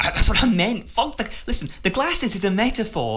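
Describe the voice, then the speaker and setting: A man's animated tone at a fairly quick pace. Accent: northern English. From northern England. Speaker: podcast host. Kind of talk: heated debate.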